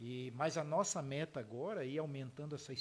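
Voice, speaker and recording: A man speaks at a moderate pace in a somewhat breathy voice with a fairly high pitch. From southern Santa Catarina, Brazil (Urussanga); Blumenau from age 14. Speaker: software company founder and CEO. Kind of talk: interview conversation.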